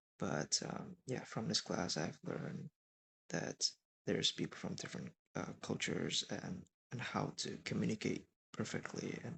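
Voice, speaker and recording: A man with an Indonesian accent at a moderate pace, with long, frequent pauses. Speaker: college student. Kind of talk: class presentation. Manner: halting.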